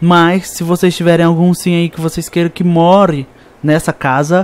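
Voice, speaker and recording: He speaks at a moderate pace. His pitch is high for a man. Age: 20s. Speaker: gaming youtuber. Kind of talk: gameplay commentary. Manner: animated.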